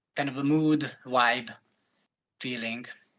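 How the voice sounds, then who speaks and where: A man talks at a fairly slow pace in a medium pitch, his intonation monotone and flat. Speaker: interpreter and animation student. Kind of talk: live interpreting. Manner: halting, many fillers.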